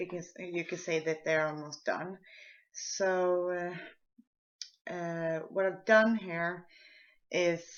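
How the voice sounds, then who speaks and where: A woman talks with a Swedish accent. Her fairly low voice moves at a very slow pace. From Sweden. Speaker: art tutorial maker. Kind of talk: tutorial. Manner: halting, with repetitions and fillers.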